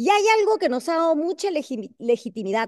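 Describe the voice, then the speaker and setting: The woman's tone is dark and mellow, and the background stays quiet. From Peru. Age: 60s. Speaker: congresswoman; guest. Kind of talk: panel discussion. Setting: video call. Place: hall. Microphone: video call.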